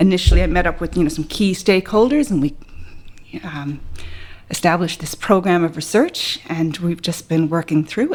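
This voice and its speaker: A woman speaks at a fairly quick pace with a Canadian accent, her pitch fairly low and its variation ordinary. Noticeable background noise sits behind her. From Canada, Ontario. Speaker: biostatistician, associate professor. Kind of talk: podcast interview. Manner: hesitant, with many fillers.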